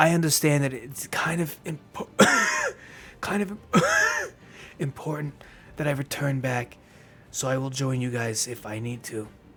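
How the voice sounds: A man puts on a raspy character voice at a medium pitch with ordinary pitch variation. He moves at a moderate pace, with long, frequent pauses.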